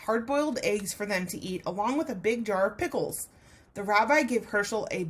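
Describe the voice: The words are read aloud. The delivery is plain.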